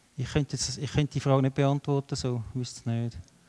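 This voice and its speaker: An unremarkable speaking voice moves at a fairly quick pace with fairly even intonation. The sound is dry and close, with no echo. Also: man. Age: 50s. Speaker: guest preacher. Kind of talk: sermon with audience questions.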